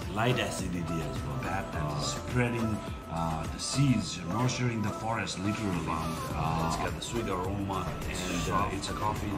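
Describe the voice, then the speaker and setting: The speech moves at a moderate pace over loud music in the background. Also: man. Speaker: coffee shop vlogger. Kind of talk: casual vlog chat. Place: cafe. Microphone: phone near.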